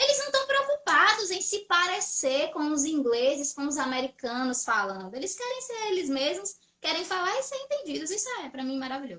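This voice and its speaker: A woman speaks in a raised, projected voice at an extremely high pitch, with very wide pitch swings, a moderate pace and hardly any pauses. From Brazil. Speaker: English teacher. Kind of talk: live stream chat.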